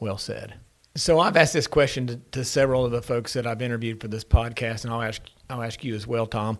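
At a very fast pace, a man with an Appalachian accent speaks at a medium pitch with fairly even intonation and big swings in loudness, on a very clean recording with a silent background. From Ironton, Ohio, Appalachia. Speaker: podcast host, entrepreneur. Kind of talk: casual interview. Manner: halting, many fillers and repeats.

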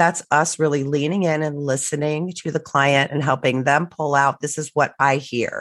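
This woman talks at a moderate pace with a very deep, low pitch, hardly any pauses, and flat, monotone intonation. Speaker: divorce coach. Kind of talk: casual professional conversation.

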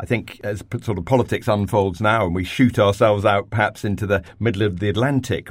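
A normal speaking voice with ordinary pitch variation, on a very clean recording with a silent background. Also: man. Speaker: residential development head. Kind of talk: panel discussion.

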